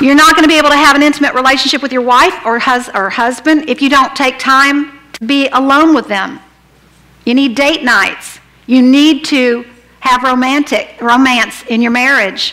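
A woman speaks at a moderate pace in a high-pitched, raised and projected voice. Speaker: pastor; preacher. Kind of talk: sermon. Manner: animated. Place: church.

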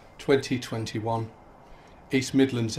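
A man talks in a somewhat breathy voice with monotone, flat intonation. Light background noise sits behind him. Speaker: ceremony reader. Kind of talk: solemn reading of names. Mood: solemn, measured. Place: open country. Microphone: podium.

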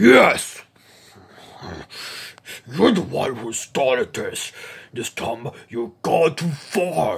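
Using a cartoonish character voice, a man speaks fairly high and very slowly, with long, frequent pauses. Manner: threatening, angry.

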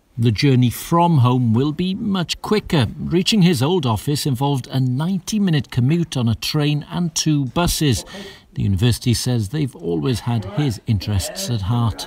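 A somewhat breathy voice with very wide pitch swings. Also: man, fairly high pitch for a man, moderate pace, hardly any pauses. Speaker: news reporter. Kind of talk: TV news report.

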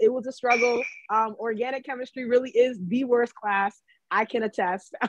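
With an American accent, a woman talks at a moderate pace with a high pitch. Light background noise can be heard. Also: dry sound with no echo. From Maryland, US. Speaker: economist and book editor. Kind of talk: virtual book talk interview. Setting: video call. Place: home room. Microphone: video call.

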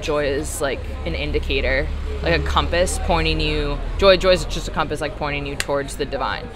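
Clear music plays in the background as a woman talks at a fairly quick pace. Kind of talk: interview answer. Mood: reflective, earnest. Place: cafe. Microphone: phone near.

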